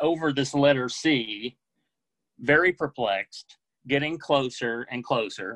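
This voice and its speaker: In an American accent, a man with a plain, everyday voice speaks at a fairly slow pace. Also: dry, close sound with no echo. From US South (Oklahoma, Texas, Mississippi). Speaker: book editor, storyteller. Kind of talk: personal storytelling. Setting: video call.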